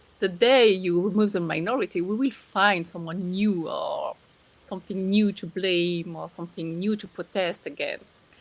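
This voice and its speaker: A woman with a French accent, medium-pitched, at a moderate pace with fairly even intonation. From southern France. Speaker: podcast co-host. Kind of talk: casual chat.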